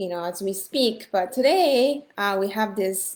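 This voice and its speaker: Speaking at a fairly slow pace, a woman has a medium pitch and ordinary pitch variation. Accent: Japanese. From Japan. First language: Japanese. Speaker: language teacher. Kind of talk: online class lecture. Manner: hesitant, many fillers.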